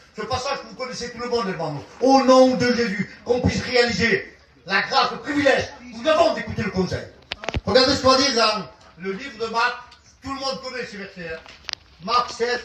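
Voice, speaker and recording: A man with an extremely high pitch and ordinary pitch variation speaks with big swings in loudness and long, frequent pauses. Background noise is noticeable and room echo is audible. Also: fairly quick pace. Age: 70s. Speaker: visiting pastor. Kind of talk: sermon. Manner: animated.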